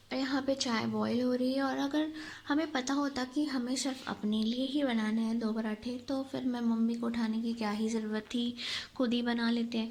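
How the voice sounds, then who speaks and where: At a moderate pace, a woman with a high pitch speaks with very even loudness and fairly even intonation. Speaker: family vlogger. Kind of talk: casual vlog narration.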